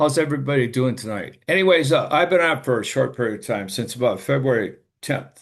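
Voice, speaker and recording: Against a quiet background, an American man with a medium-pitched voice and vocal fry talks fairly quickly with lively intonation. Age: 70s. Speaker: product user sharing results. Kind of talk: testimony.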